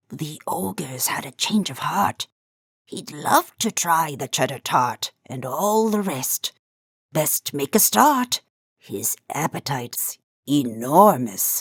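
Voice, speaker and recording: A raspy, put-on character voice at low-to-middle pitch moves along at a fairly slow pace. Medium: read story.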